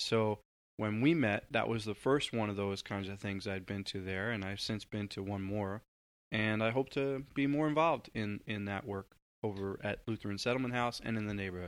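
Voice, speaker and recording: An ordinary speaking voice from a man with an American accent carries a fairly low pitch, ordinary pitch variation and a moderate pace on a very clean recording with a silent background. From US Northeast, Long Island, New York. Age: 40s. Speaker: community organizer, former journalist. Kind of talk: interview conversation.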